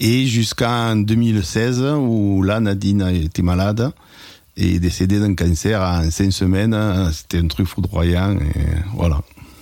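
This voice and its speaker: A man speaks very slowly at a fairly low pitch, with ordinary pitch variation and very even loudness. Background noise is noticeable. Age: 60s. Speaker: retired winegrower. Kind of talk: personal testimony. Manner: halting, with hesitations.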